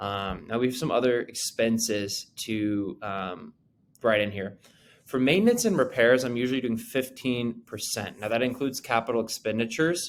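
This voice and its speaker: In a plain, everyday voice, a man speaks at medium pitch and a moderate pace with ordinary pitch variation, on a very clean recording with a silent background. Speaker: real estate agent and investor. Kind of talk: tutorial. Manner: many filler words and restarts.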